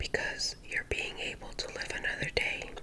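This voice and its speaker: A soft-spoken woman whispering at a fairly slow pace, over noticeable background noise. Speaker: channel host. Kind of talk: casual livestream chat reading comments. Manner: soft ASMR whisper, close to the mic. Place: home room.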